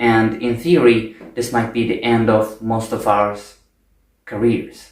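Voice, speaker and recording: At a fairly slow pace, a man with a non-native accent speaks. His pitch is medium and his intonation fairly even. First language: not English. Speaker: video essayist. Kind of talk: spontaneous monologue. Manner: unscripted, with fillers.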